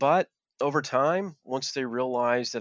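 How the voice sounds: A man talks at a moderate pace in a fairly bright tone. The sound is dry and close, with no echo.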